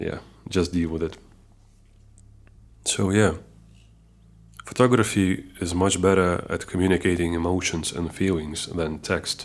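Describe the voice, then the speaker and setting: The recording is very clean with a silent background. A man with a very deep, low pitch talks at a fairly slow pace, with fairly even intonation and long, frequent pauses. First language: not English. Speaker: amateur photographer, new YouTuber. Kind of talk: casual talk to camera. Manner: halting, with restarts.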